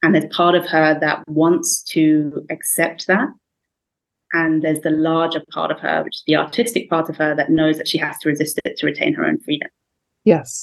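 Here a woman speaks in an English accent. Her pace is moderate. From England. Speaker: writer and researcher. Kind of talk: casual book discussion.

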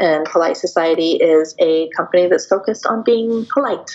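At a moderate pace, a woman talks with an American accent over noticeable background noise. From US Northwest, Seattle. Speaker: PR agency founder. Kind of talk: interview.

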